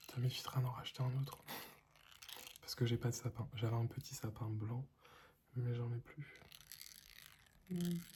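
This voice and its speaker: A man with a medium voice speaks in a calm, dark, mellow tone, his intonation fairly even and his speech broken by long, frequent pauses. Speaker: ASMR content creator. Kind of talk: ASMR lo-fi relaxation talk to camera. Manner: soft-spoken, calm, slow.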